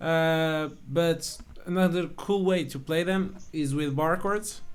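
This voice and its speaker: In a Portuguese accent, a man talks at a high pitch with fairly even intonation. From Portugal. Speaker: guitar teacher. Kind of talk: tutorial. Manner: casual, halting.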